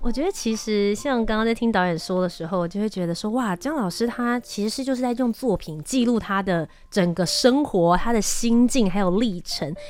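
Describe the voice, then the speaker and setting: A woman talks at a moderate pace with hardly any pauses and a fairly high pitch. Noticeable background noise sits behind her. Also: ordinary pitch variation. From Taiwan (Kaohsiung). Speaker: travel show host. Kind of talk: interview.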